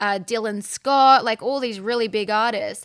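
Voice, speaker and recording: On a very clean recording with a silent background, a woman speaks with an Australian accent. Her tone is bright and sharp, her intonation fairly even. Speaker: outdoor podcast host and TV presenter. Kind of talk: casual interview chat.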